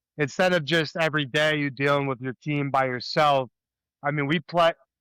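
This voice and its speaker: Fairly high pitch from a man with an American accent, a bright, sharp tone, fairly even intonation and a moderate pace, in a dry, close sound with no echo. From US, Delaware County, Pennsylvania. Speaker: podcast co-host. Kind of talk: casual chat.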